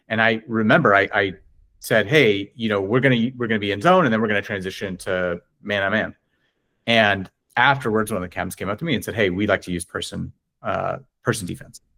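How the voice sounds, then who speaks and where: Talking fairly quickly with an American accent, a man uses a fairly low pitch, a bright, sharp tone and ordinary pitch variation in a very clean recording with a silent background. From Southern California. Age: 40s. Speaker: ultimate frisbee coach. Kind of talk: podcast interview. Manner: rambling, halting.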